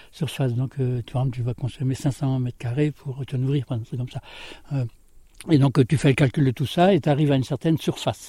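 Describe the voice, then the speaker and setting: On a very clean recording with a silent background, a man speaks at a fairly quick pace and medium pitch, with a dark, mellow, somewhat breathy tone, fairly even intonation and a dry, close sound with no echo. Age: 70s. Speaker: former farmhand and voluntary simplicity author. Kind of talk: interview. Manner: halting.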